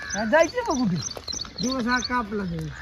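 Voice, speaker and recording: A man puts on a whiny character voice at an extremely high pitch, speaking at a moderate pace over clear background noise. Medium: comedy sketch. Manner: whining, pleading.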